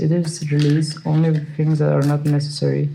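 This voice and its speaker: Speaking with a very deep, low pitch, a woman has a dark, mellow tone over audible room echo. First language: not English. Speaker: tarot reader. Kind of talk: tarot reading monologue. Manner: hesitant, many fillers.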